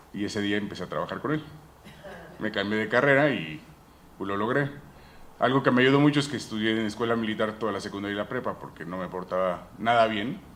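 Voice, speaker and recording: Though a man talks at a very fast pace, he leaves long, frequent pauses, his fairly low voice showing ordinary pitch variation amid audible room echo. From United States (Mexican family). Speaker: dentist, implant specialist, conference speaker. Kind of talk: conference talk.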